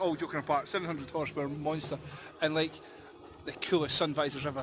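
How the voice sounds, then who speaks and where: Someone with a Scottish accent talks at a fairly quick pace over music in the background. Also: man. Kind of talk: casual livestream commentary at a car meet.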